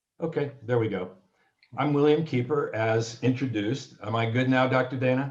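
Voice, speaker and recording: A man speaks at a medium pitch with fairly even intonation. His voice is somewhat breathy. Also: moderate pace. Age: 70s. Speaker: author. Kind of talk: panel discussion.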